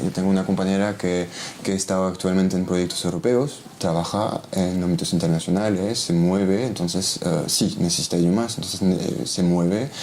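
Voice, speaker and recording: Speech in a French accent comes at a moderate pace with very even loudness, over noticeable background noise. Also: man. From Belgium. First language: French (speaking Spanish). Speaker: criminologist. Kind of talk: interview. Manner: halting, many fillers and restarts.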